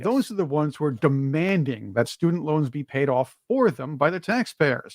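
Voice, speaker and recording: An ordinary speaking voice from a man, with lively intonation at a moderate pace. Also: fairly high pitch for a man. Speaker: podcast host. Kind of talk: interview question.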